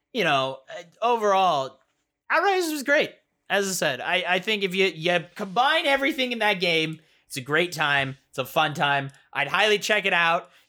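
A man projects a raised voice, high in pitch and bright and sharp in tone, with very wide pitch swings. He holds a moderate pace on a very clean recording with a silent background. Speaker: video game podcast co-host. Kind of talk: casual chat. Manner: halting.

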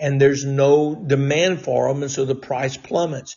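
This is a man speaking. There is a somewhat breathy quality to his voice. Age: 60s. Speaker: fill-in talk radio host, former state legislator. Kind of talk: political talk monologue.

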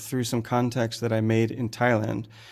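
A man with an American accent at a medium pitch and moderate pace, on a very clean recording with a silent background. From United States. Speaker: gem cutter and author. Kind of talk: interview. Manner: halting.

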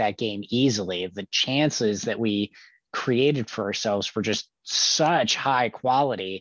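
An unremarkable speaking voice moves at a fairly slow pace. Its pitch variation is ordinary. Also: man. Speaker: podcast co-host. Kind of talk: casual chat.

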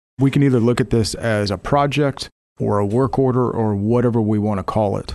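A man speaks in a normal speaking voice at a moderate pace. His pitch varies in an ordinary way against a quiet background. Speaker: software platform representative. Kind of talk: casual business interview. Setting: studio.

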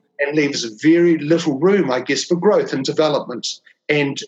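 Speaking with a New Zealand accent, a man uses a fairly high voice and fairly even intonation. He keeps a moderate pace. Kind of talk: interview conversation.

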